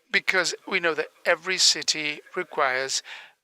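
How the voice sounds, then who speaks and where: Recorded dry and close with no echo, a man speaks fairly slowly at a fairly high pitch with ordinary pitch variation. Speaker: conference interpreter. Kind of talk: conference presentation.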